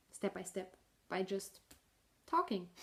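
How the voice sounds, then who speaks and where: A woman talks with a German accent. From northern Germany. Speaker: knitting podcaster. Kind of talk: casual video podcast monologue. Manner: halting, with fillers and restarts.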